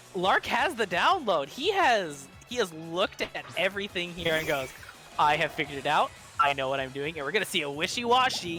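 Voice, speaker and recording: The speaker has an excited tone and a fairly quick pace. Music plays in the background. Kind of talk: esports match commentary, play-by-play of a Pokemon battle. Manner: excited, fast.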